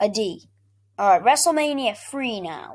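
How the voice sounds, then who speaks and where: A woman's squeaky, high voice, very slow in pace, with lively intonation. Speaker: gaming and wrestling YouTuber. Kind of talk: casual ranking commentary video. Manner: halting, many fillers and restarts.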